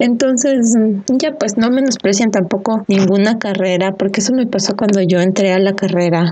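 There is noticeable background noise while a woman talks with ordinary pitch variation. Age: 20s. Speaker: podcast host. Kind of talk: casual chat. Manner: animated.

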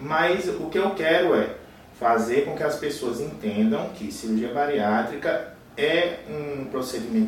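A man at a fairly high pitch and fairly slow pace, with very wide pitch swings and noticeable background noise. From Paraíba, Brazil. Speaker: bariatric surgeon. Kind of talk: podcast interview.

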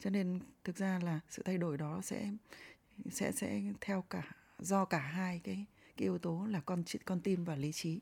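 At a fairly slow pace and fairly low pitch, a somewhat breathy woman speaks with ordinary pitch variation and long, frequent pauses. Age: 50s. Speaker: professor, host's mother. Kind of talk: casual interview, personal storytelling.

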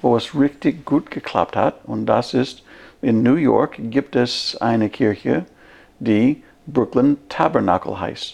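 With an English accent and vocal fry, a man speaks at a very slow pace. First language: English (speaking German). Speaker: pastor. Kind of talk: casual chat.

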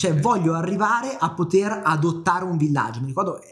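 Somewhat breathy, the voice moves at a very fast pace with lively intonation. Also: man. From northern Italy, Milan. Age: 20s. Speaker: podcast co-host, business coach. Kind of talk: casual chat.

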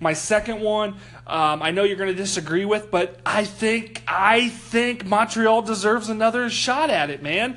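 Over noticeable background noise, a high-pitched man talks at a moderate pace with ordinary pitch variation and hardly any pauses. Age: 20s. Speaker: sports podcast co-host. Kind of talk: casual chat.

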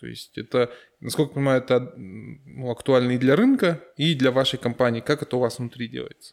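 A man speaks at a fairly quick pace with a medium pitch and ordinary pitch variation. He has a plain, everyday voice, and his loudness swings widely. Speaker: podcast host. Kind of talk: interview, podcast conversation.

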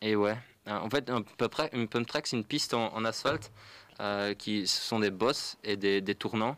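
Speaking at a fairly slow pace with fairly even intonation, the voice comes through on a very clean recording against a silent background. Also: man, fairly low pitch for a man. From Flanders, Belgium. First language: Dutch (speaking French). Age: 20s. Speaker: young cyclist, pump track builder. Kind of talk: radio interview.

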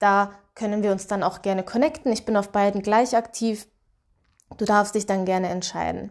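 At a moderate pace, a woman speaks with fairly even intonation and a normal speaking voice. The background is quiet. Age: 20s. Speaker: podcast host and confidence coach. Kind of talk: solo motivational podcast monologue.

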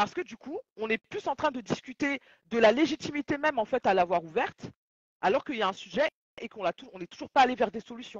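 The speech moves at a fairly quick pace, with lively intonation and big swings in loudness. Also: woman, high pitch for a woman. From Mali / Senegal heritage. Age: 30s. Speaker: audiovisual journalist and talk show host. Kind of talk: live podcast discussion.

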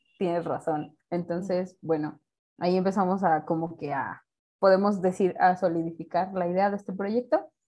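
A woman's dark, mellow voice at medium pitch, with fairly even intonation. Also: moderate pace. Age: 30s. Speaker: criminologist, podcast co-host. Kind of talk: casual chat.

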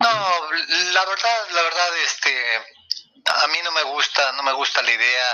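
A man with a high voice talks at a fairly slow pace, his intonation lively, while music plays in the background. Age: old. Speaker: football pundit. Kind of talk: casual chat.

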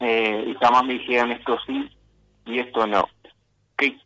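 A man speaks at medium pitch. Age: 20s. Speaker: political activist. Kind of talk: interview. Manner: halting.

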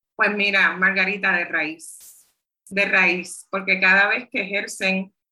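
A woman's medium-pitched, bright, sharp voice at a very slow pace. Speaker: community organizer and public health worker, book author. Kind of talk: interview conversation.

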